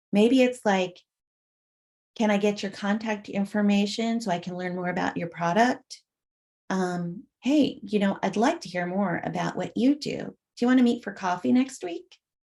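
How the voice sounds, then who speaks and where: A woman speaks softly at a moderate pace, her voice somewhat breathy. Her pitch is medium with ordinary variation. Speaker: conference presenter on peer networking. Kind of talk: conference presentation. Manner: soft-spoken.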